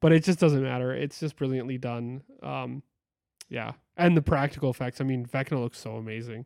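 With an ordinary speaking voice, a man talks at a fairly quick pace and medium pitch with fairly even intonation and big swings in loudness, the sound dry and close with no echo. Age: 30s. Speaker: movie podcast co-host and photographer. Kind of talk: casual chat.

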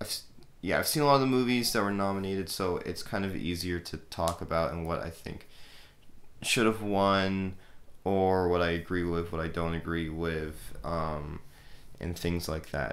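Audible room echo around a man's very deep, low voice at a moderate pace. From Canada. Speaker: film podcast host. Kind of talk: casual solo talk. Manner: hesitant, many fillers.

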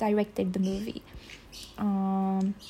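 A woman speaks with a non-native accent over noticeable background noise. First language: not English. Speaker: solo podcaster. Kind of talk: casual monologue. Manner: halting, with fillers and laughs.

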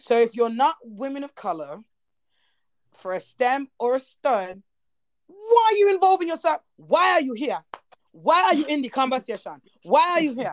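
A woman talks at a high pitch and a moderate pace, her pitch swinging very widely. She leaves long, frequent pauses, and the sound is dry and close with no echo. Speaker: podcast host. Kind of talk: casual chat.

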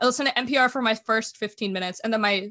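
Over a quiet background, a woman with an American accent speaks at a very fast pace in a fairly high pitch with a bright, sharp tone. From Germany (American family abroad). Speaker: podcaster and venture fellow. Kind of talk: casual interview chat.

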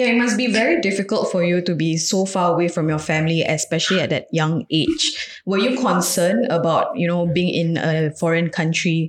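Against noticeable background noise, a woman with a fairly low pitch talks at a fairly quick pace, her loudness very even and her pitch varying in an ordinary way. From Singapore. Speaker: podcast host. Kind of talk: casual chat.

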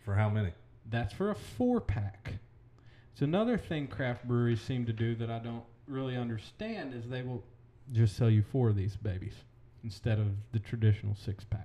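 A somewhat breathy man at medium pitch, dark, mellow tone, with long, frequent pauses. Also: ordinary pitch variation, moderate pace. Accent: American. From Oklahoma. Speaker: podcast host, real estate agent. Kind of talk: casual chat.

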